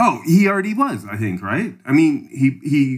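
A man talks with a Canadian accent. The recording is very clean, with a silent background. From Canada. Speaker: podcast co-host. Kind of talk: casual political discussion.

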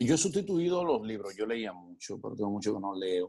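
In a dark, mellow tone, a man talks with very wide pitch swings. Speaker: actor and comedian. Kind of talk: casual interview.

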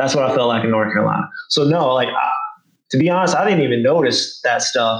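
Talking at a fairly quick pace, a man with a Southern US accent keeps a medium pitch and ordinary pitch variation. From rural Arkansas. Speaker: Marine Corps veteran. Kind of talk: casual chat.

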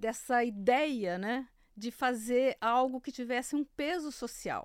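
The speaker is a woman. Her pitch is fairly high. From interior of São Paulo state, Brazil. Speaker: agricultural journalist. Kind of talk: interview conversation.

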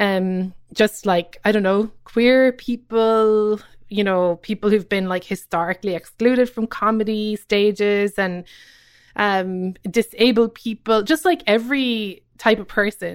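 Fairly high in pitch with ordinary variation, a woman speaks at a fairly slow pace in a Cork accent. The recording is very clean, with a silent background and a dry, close sound with no echo. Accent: Irish, Cork. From Ireland, Cobh, County Cork. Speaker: comedian and writer. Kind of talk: casual interview.

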